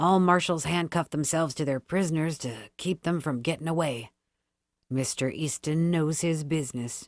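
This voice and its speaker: In a very clean recording with a silent background, a female-sounding voice performs a gruff put-on character voice at a middle pitch and moderate pace. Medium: read story.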